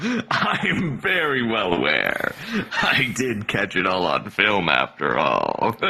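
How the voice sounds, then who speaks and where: In a put-on character voice, a man speaks at a fairly slow pace. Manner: smooth, smug.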